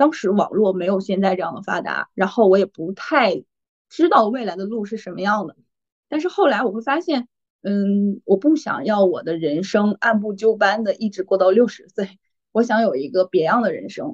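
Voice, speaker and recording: Pitched fairly high, a woman speaks in a normal speaking voice at a moderate pace with lively intonation. The sound is dry and close, with no echo. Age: 30s. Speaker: MBTI assessor, personal growth coach. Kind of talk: casual interview chat.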